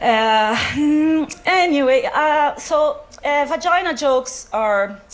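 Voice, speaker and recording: A woman speaks with a Brazilian accent. Her pitch swings very widely. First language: Portuguese. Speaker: doctor doing science comedy. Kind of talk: stand-up. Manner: halting, many fillers.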